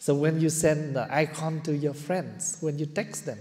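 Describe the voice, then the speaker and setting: At a fairly slow pace, a man talks in a fairly high pitch, somewhat breathy, with a dark, mellow tone. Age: 70s. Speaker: Buddhist monk teacher. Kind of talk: dharma talk.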